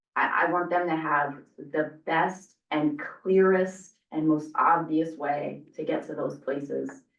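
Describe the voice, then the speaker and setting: Amid audible room echo, a woman with a very deep, low pitch speaks very slowly in a flat monotone. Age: 40s. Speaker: community advisory group member. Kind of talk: public meeting discussion. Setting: public meeting in library with Zoom.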